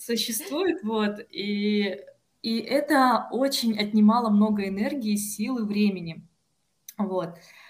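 A woman's fairly high, somewhat breathy voice with ordinary pitch variation, very slow, in audible room echo. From Russia, Kostroma. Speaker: PhD student in philology. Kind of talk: podcast interview. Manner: hesitant, frequent filler sounds.

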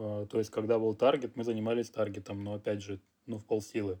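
Against a quiet background, a man with a fairly low pitch and a dark, mellow tone talks at a moderate pace. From Russia. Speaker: clothing designer and entrepreneur. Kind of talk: interview. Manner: casual, slangy.

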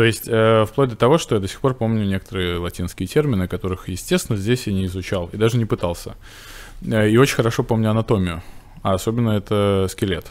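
This man's voice sits fairly low, with ordinary pitch variation. He talks at a very fast pace. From Russia, Novgorod region. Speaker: veterinary cardiologist and surgeon. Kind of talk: casual interview.

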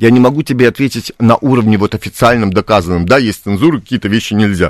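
A man's fairly low voice with lively intonation. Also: dry, close sound with no echo, very clean recording, silent background. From Białystok, Poland. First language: Polish (speaking Russian). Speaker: playwright and theatre director. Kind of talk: radio interview. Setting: radio studio.

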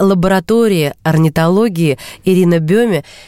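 A woman with an ordinary speaking voice and lively intonation talks at medium pitch in a dry, close sound with no echo. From Russia, Kursk. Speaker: radio host. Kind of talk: radio interview. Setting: studio.

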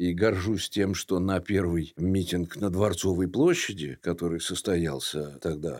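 A man's very deep, low voice at a moderate pace on a very clean recording with a silent background. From Russia, St Petersburg. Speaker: theatre director and heritage preservation activist. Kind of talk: interview.

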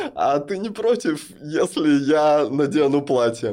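Very slowly, a man speaks in a fairly high pitch with very wide pitch swings. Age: 30s. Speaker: non-binary podcast guest. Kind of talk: personal testimony in interview. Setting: studio.

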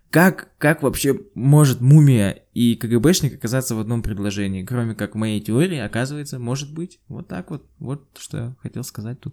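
A man with a dark, mellow tone speaks with lively intonation and big swings in loudness on a very clean recording with a silent background. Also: medium pitch for a man, moderate pace, hardly any pauses. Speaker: podcast co-host. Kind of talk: casual chat.

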